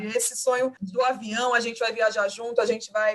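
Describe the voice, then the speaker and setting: Noticeable background noise runs under a woman's fairly high-pitched voice. She talks at a fairly quick pace with monotone, flat intonation. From Cuiabá, Brazil. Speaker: poet and teacher. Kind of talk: podcast interview answer.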